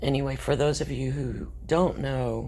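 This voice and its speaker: A woman is heard with audible room echo. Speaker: vlogger. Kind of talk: personal video update.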